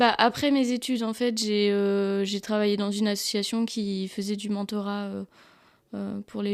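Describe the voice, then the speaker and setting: This very clean recording has a silent background. The talking proceeds at a moderate pace. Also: woman. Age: 20s. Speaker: photographer. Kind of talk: casual interview. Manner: halting.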